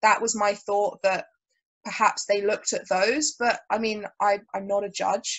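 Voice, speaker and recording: A woman talks fairly slowly, her medium pitch showing ordinary pitch variation. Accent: southern English. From southern England, Brighton. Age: 20s. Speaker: jiu-jitsu athlete and commentator. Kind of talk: casual chat.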